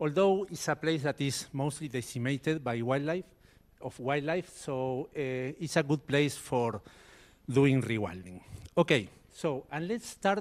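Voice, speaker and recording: A man speaks in an Argentine accent. His voice sits fairly high and his intonation is lively. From Argentina. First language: Spanish. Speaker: biologist. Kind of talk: conference talk.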